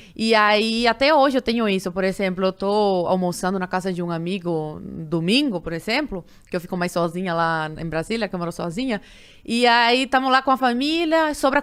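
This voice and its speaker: A woman with a Cuban accent speaks at a fairly quick pace, her pitch swinging very widely. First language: Spanish (speaking Portuguese). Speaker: podcast guest. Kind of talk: casual interview chat.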